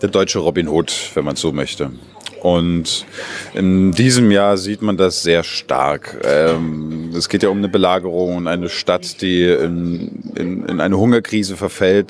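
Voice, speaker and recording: Over light background noise, a man speaks with a very deep, low pitch. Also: dry sound with no echo. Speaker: actor in an open-air pirate play. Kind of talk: interview answer. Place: street. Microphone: handheld.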